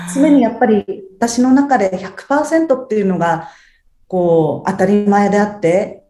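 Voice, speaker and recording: At a very slow pace, a woman talks with a dark, mellow tone. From Japan, Ibaraki (Tsuchiura). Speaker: house cleaning service manager. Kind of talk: interview.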